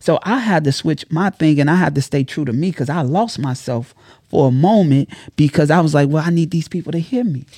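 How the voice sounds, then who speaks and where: A fairly high-pitched man at a fairly quick pace, with ordinary pitch variation, in a very clean recording with a silent background. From Chicago, South Side. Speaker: entrepreneur and content creator. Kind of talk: casual interview. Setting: studio. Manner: preacher-like delivery.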